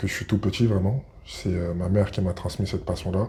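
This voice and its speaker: Very deep and low, a man's somewhat breathy voice has a dark, mellow tone. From Paris region, France. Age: 30s. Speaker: basketball player. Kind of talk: interview. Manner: hesitant, many fillers.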